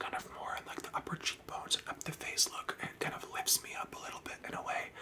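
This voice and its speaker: A man whispers at a moderate pace. Noticeable background noise can be heard. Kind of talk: ASMR whispered get-ready-with-me tutorial. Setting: close-up microphone, indoors. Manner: whispered, soft-spoken.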